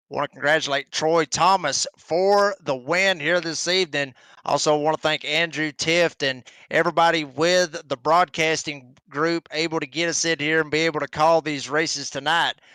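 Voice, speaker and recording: A man with a Southern US accent speaks at a moderate pace and fairly high pitch in a bright, sharp tone. The sound is dry and close with no echo, on a very clean recording with a silent background. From northern Georgia, US South. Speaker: motorsport commentator. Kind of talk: live race commentary. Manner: animated.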